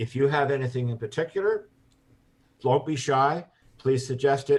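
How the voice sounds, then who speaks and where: A somewhat breathy man's voice. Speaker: environmental advocate. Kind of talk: webinar discussion.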